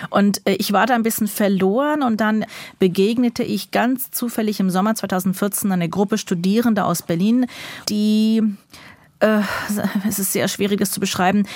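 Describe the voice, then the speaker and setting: At a moderate pace, a woman with a medium pitch speaks somewhat breathily, with fairly even intonation and long, frequent pauses. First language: English or Yiddish (speaking German). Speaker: writer. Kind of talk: interview. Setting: remote line.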